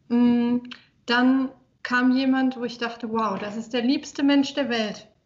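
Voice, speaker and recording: A woman's voice, high in pitch. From Saarland, Germany. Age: 20s. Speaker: fitness trainer and communication researcher. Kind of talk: casual interview.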